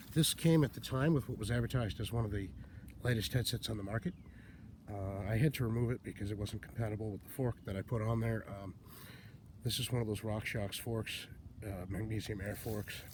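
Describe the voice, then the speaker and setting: His pitch varies in an ordinary way. The man talks fairly quickly, with a somewhat breathy voice. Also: fairly low pitch for a man. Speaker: vintage bike enthusiast. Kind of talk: casual talk to camera.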